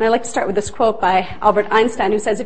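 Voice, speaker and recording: Audible room echo surrounds the voice, and noticeable background noise runs underneath. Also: woman. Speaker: lecturer on restorative justice. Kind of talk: lecture. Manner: fast.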